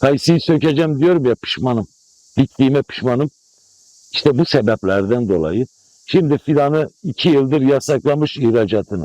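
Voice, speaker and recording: With lively intonation and a moderate pace, a man speaks at a medium pitch in a dry, close sound with no echo. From Malatya, eastern Turkey. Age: 60s. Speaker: apricot farmer. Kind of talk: news interview. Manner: animated.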